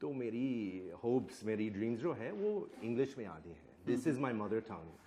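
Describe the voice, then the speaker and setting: A man with a medium pitch and a dark, mellow tone speaks at a moderate pace with lively intonation and big swings in loudness. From United States. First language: English (speaking Hindi). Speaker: Hindi scholar. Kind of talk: public panel conversation.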